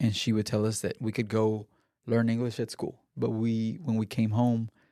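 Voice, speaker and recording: A man with a Spanish accent, medium pitch and a dark, mellow tone, at a moderate pace with very even loudness and fairly even intonation, in a very clean recording with a silent background. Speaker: podcast host. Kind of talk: casual chat.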